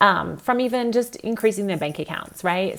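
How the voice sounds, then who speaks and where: A woman speaks with an Australian accent at a fairly quick pace. Her tone is animated. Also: very clean recording, silent background. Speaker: real estate agent. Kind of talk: motivational talk.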